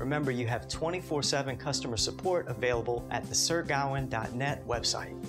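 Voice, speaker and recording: A man talks at a fairly quick pace while music plays clearly in the background. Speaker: presenter. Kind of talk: tutorial. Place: studio.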